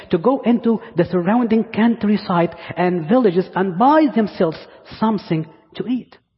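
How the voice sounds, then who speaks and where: Speaking at a moderate pace, a man with an Egyptian accent uses a high pitch and ordinary pitch variation. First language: Arabic. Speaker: pastor. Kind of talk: sermon. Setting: church.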